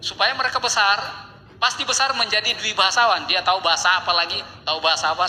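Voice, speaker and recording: Noticeable background noise is present. Through it, a man speaks at a very fast pace. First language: a regional language of North Maluku (speaking Indonesian). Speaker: linguistics professor. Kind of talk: academic talk. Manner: halting, with fillers.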